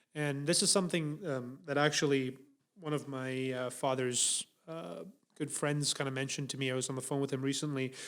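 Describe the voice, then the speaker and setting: A man with a non-native accent, a fairly high pitch and a fairly quick pace. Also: ordinary pitch variation. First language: not English. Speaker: podcast co-host. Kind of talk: casual chat. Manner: hesitant, many fillers and restarts.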